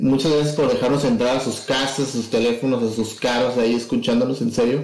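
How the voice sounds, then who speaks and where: Fairly quick, monotone, flat delivery with audible room echo. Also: man. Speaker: podcast co-host. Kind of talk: casual chat.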